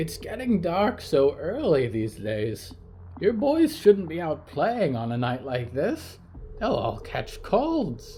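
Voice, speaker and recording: A man puts on a character voice pitched high and spoken at a fairly slow pace. Background noise is clearly audible. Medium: read story.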